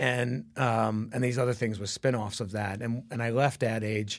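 At a moderate pace, a man with an American accent speaks in an unremarkable speaking voice of medium pitch, his intonation fairly even. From Brooklyn, New York. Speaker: advertising creative executive. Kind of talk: interview.

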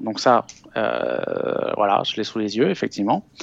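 Very slow pace from a man. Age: 40s. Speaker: investment author and business school lecturer. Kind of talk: interview. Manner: calm; halting, frequent repetitions.

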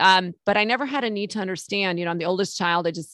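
Against a quiet background, a woman with an American accent has a plain, everyday voice, fairly low in pitch with ordinary variation, recorded dry and close with no echo. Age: 50s. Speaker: Medicare insurance broker. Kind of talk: casual interview.

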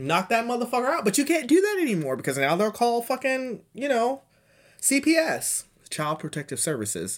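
A man speaks at an extremely high pitch with very wide pitch swings and an animated tone. His fairly quick delivery comes through on a very clean recording with a silent background. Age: 30s. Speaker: solo podcast host. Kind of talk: casual monologue.

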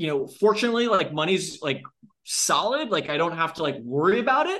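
A bright, sharp tone carries lively intonation at a moderate pace. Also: man. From Long Island, New York. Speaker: fitness coach and company founder. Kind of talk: interview.

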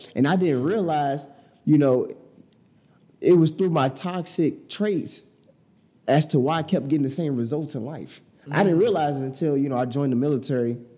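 A man with an American accent moves at a fairly quick pace. His tone is dark and mellow, his pitch fairly high with ordinary variation. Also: long, frequent pauses. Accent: Chicago urban, cleaned up. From Chicago, US. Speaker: digital marketing entrepreneur. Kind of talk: casual interview conversation.

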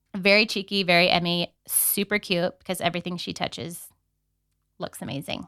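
A woman with a Californian accent speaks at a moderate pace and medium pitch, with a bright, sharp tone and fairly even intonation, in a very clean recording with a silent background and a dry, close sound with no echo. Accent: Californian American English. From San Diego, California. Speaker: podcast co-host. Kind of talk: casual chat.

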